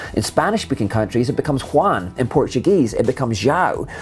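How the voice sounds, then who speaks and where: A man speaks at a fairly quick pace with a Scottish accent, his pitch swinging very widely. Music plays in the background. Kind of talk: explainer video narration.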